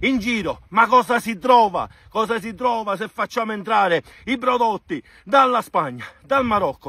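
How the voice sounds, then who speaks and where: In a raised, projected voice with a bright, sharp tone, the speaker keeps a moderate pace, the sound dry with no echo. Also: man. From Sicily. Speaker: farmer. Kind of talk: angry protest talk to camera. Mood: angry and frustrated. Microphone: phone near.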